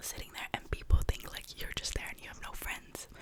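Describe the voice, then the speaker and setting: A woman whispers over noticeable background noise. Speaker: ASMR creator. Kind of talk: ASMR whisper ramble, casual talk to camera. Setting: close microphone at home studio. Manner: whispered, close-mic, chatty.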